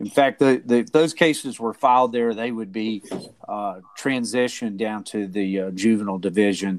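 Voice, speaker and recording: A man speaks at a moderate pace with a medium pitch and ordinary pitch variation, on a very clean recording with a silent background. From Kentucky. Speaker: probate lawyer. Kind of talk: informal interview explaining legal topics. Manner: halting, repeats words.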